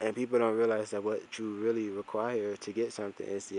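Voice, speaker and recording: This man speaks quietly at a fairly low pitch and a fairly quick pace. His intonation is monotone and flat. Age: 20s. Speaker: video diarist. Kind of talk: casual monologue vlog. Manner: quiet, talking low; halting, repetitive.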